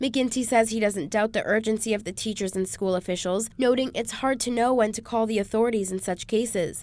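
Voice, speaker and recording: Here is a woman with an ordinary speaking voice and a fairly high pitch. She talks at a fairly quick pace with ordinary pitch variation. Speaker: radio news and traffic reporter. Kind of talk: radio newscast read.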